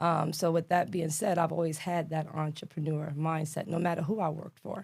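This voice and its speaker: A woman's fairly low, somewhat breathy voice with a New York accent, flat and monotone, at a fairly quick pace. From New York City (Brooklyn and Queens). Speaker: government contracting expert. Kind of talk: podcast interview. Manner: casual, with many fillers.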